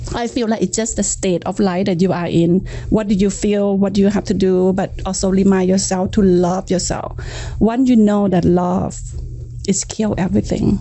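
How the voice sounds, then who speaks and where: Over noticeable background noise, a woman speaks at a medium pitch and a moderate pace with monotone, flat intonation. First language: not English. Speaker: real estate agent and pageant queen. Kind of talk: casual podcast conversation.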